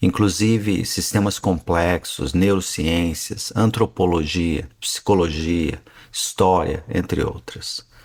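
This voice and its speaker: A man speaks at a fairly slow pace. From northern Paraná, Brazil. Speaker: physician and podcast host. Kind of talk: podcast monologue.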